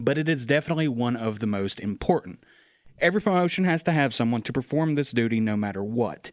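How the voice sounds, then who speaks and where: Lively in intonation, a man with an unremarkable speaking voice talks at a fairly quick pace in a very clean recording with a silent background. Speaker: podcast host. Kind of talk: podcast interview.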